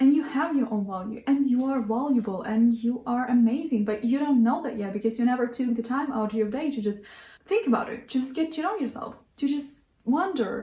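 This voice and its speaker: A dark, mellow tone with a non-native accent, a fairly quick pace, hardly any pauses and ordinary pitch variation. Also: woman. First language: not English. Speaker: lifestyle vlogger. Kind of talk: casual monologue to camera. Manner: halting, many restarts.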